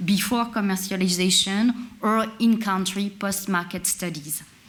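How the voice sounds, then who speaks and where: A woman with a French accent talks at a moderate pace with fairly even intonation, and audible echo fills the room. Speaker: industry representative at a conference. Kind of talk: conference presentation. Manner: hesitant, with many filler sounds.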